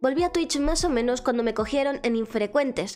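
With music in the background, a woman speaks using ordinary pitch variation. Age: 20s. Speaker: streamer and voice acting student. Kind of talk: casual self-presentation to camera.

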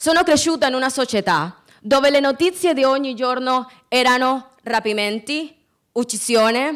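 A woman with a Spanish accent talks at a fairly slow pace, her voice high-pitched with lively intonation. The background is quiet. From Colombia. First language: Spanish (speaking Italian). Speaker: student peace activist; speaker. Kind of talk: prepared speech. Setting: stage with audience. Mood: earnest, impassioned. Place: stage. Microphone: podium.

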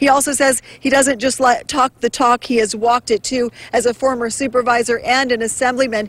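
A woman at a high pitch and fairly quick pace, with monotone, flat intonation, very even loudness, and a dry sound with no echo. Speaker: TV reporter. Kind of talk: live field report. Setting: outdoors. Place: street. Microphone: handheld.

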